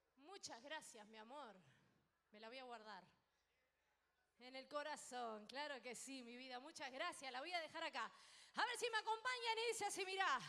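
Using a raised, projected voice with a bright, sharp tone, a woman speaks at a moderate pace with very wide pitch swings, big swings in loudness and long, frequent pauses. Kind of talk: stage banter with audience. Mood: warm, affectionate. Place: stage. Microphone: handheld.

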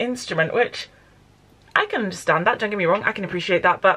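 With a bright, sharp tone, a woman speaks with ordinary pitch variation. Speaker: book vlogger. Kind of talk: vlog, casual monologue to camera. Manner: chatty, informal. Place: home room. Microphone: phone near.

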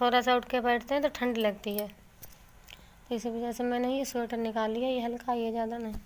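A woman talks at a moderate pace with a high pitch and hardly any pauses. Her intonation is monotone and flat, with light background noise. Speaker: vlogger. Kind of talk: casual vlog chat. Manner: weak, feeble voice, feeling cold. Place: home room. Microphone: phone near.

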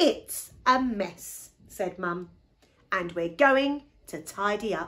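With lively intonation, a natural reading voice carries the text.

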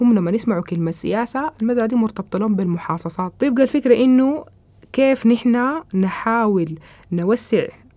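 A woman speaks in a Sudanese accent with a dark, mellow tone and fairly high pitch. Her intonation is lively and her pace moderate. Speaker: researcher. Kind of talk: interview. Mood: calm, thoughtful. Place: studio.

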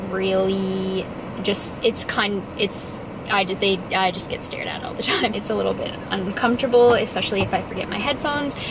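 A woman speaks with fairly even intonation against noticeable background noise. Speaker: fitness vlogger. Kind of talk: casual vlog chat. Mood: cheerful, laughing. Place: car. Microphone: phone near.

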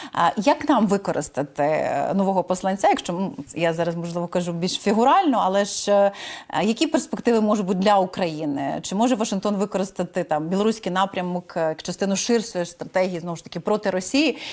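With an unremarkable speaking voice, a woman talks at medium pitch. Her intonation is lively and her pace fairly quick. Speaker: news interviewer. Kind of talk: news interview.

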